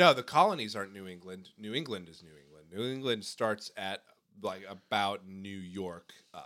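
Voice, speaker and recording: With an American accent, a man talks at a moderate pace in a fairly low voice, his tone bright and sharp, his pitch varying normally and his loudness swinging a lot. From California. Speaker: podcast guest. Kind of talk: casual chat.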